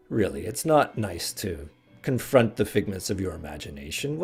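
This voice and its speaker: With faint music in the background, a man uses a put-on character voice, very deep and low in pitch, with very wide pitch swings. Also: moderate pace. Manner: grumbling.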